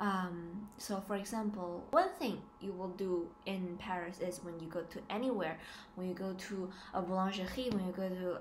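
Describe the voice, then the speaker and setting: With audible room echo, a woman speaks at medium pitch and a fairly slow pace. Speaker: student vlogger. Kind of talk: casual vlog. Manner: hesitant, many fillers.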